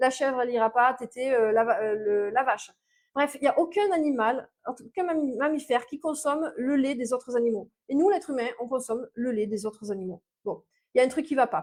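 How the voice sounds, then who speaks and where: A woman with a Mediterranean accent speaks in a high pitch. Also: ordinary pitch variation, fairly quick pace. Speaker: naturopath. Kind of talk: live-stream talk. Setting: live video stream. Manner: hesitant, many fillers.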